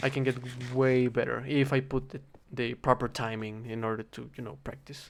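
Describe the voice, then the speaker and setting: A moderate pace with a slight Spanish accent. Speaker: gaming streamer, linguistics student. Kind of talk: casual gameplay monologue. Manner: halting, with many repetitions.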